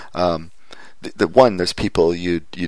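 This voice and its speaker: Speaking at a moderate pace with a Canadian accent, a man uses a very deep, low pitch and vocal fry. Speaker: podcast host. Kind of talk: casual chat. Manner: halting.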